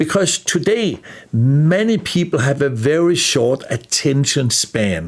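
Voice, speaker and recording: A man with a slight Danish accent, a fairly high pitch, very wide pitch swings and a fairly slow pace. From Denmark. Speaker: life skills teacher. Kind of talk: lecture.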